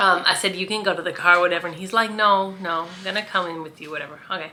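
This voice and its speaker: Here a woman speaks loudly. Her intonation stays fairly even. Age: 50s. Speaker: vlogger. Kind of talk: casual vlog storytelling. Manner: chatty, with fillers.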